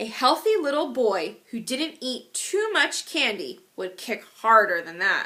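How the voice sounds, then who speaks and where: Putting on a character voice, a woman talks high-pitched and fairly slowly, her pitch swinging very widely with hardly any pauses. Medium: read story. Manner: prim, reproving.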